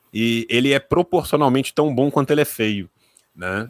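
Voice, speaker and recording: A speaker with a strong rural Minas Gerais accent talks at a moderate pace. The sound is dry and close, with no echo. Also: man, very clean recording, silent background. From Minas Gerais, Brazil (rural). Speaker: historian and YouTuber. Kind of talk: casual chat.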